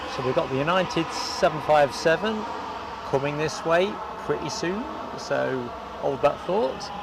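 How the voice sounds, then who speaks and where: Over noticeable background noise, a man with a high pitch speaks fairly slowly with lively intonation and long, frequent pauses. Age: 60s. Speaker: plane spotting livestreamer. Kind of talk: live commentary; casual chat. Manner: casual.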